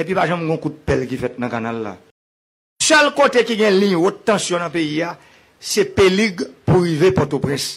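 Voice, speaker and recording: A man speaks fairly slowly at a high pitch, his voice swinging very widely, with long, frequent pauses. The background is quiet. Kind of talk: public speech. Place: hall. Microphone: podium.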